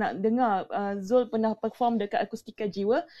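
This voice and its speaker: Against a quiet background, a woman speaks at a moderate pace with a fairly high pitch. Her tone is dark and mellow, and her pitch varies in an ordinary way. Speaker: room moderator. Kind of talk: casual chat. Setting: audio chat room. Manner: animated.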